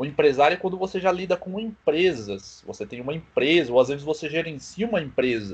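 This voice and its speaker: A normal speaking voice with lively intonation at a fairly quick pace. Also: man, fairly high pitch for a man. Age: 20s. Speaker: small business owner. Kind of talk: casual chat.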